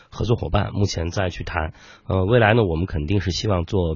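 This man talks at a fairly quick pace and fairly low pitch. His voice is somewhat breathy. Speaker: startup founder. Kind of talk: interview.

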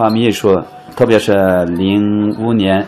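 A man speaks with a Xinjiang accent. Noticeable background noise sits behind him. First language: Uyghur (speaking Chinese). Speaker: muqam folk musician and expert. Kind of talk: interview.

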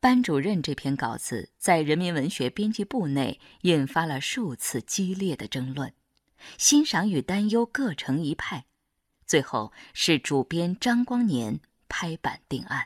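A woman with a fairly low pitch speaks at a fairly slow pace, her voice making very wide pitch swings. The recording is very clean with a silent background and a dry, close sound with no echo. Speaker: narrator. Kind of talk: documentary narration.

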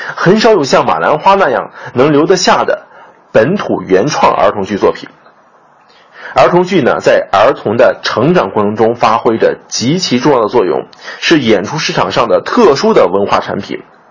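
A moderate pace of speech against noticeable background noise. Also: man. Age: young. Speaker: theatre critic. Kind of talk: scripted commentary.

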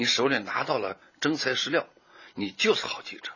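A man at a moderate pace. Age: 60s. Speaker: journalist. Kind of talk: interview.

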